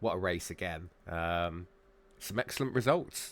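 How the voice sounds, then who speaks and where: In a very clean recording with a silent background, a man with a British accent speaks at a very deep, low pitch. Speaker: sim racing commentator. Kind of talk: live commentary.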